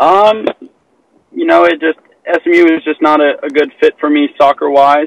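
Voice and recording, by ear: The man's fairly high voice carries vocal fry and sounds dry and close, with no echo. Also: ordinary pitch variation, moderate pace.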